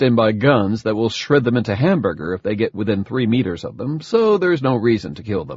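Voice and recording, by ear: Someone reads aloud in a natural voice, the intonation lively from line to line.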